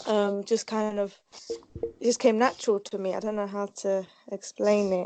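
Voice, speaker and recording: A woman speaks in a dark, mellow tone at a fairly high pitch. Her pace is fairly slow and her intonation monotone and flat. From Kurdistan, northern Iraq. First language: Kurdish. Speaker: hair specialist. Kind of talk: interview.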